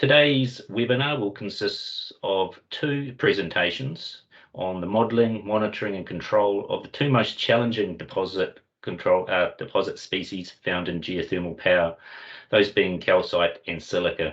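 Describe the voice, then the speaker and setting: A man speaks with a New Zealand accent. His pace is moderate. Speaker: company representative hosting webinar. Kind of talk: webinar presentation. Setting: online video meeting. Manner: hesitant with fillers.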